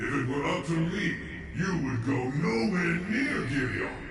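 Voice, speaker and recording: Over loud background noise and slight echo, a man does a put-on character voice at a medium pitch and a moderate pace. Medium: video game. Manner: stern, commanding.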